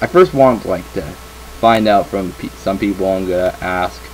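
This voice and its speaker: A very deep, low-pitched man with very wide pitch swings at a moderate pace, music in the background. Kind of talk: casual vlog chat. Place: home room. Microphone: webcam.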